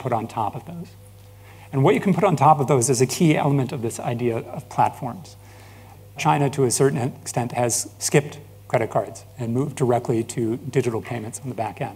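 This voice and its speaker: A man with an ordinary speaking voice, medium in pitch, fairly quick, with ordinary pitch variation. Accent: American. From United States. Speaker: business founder and industry analyst. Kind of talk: conference presentation.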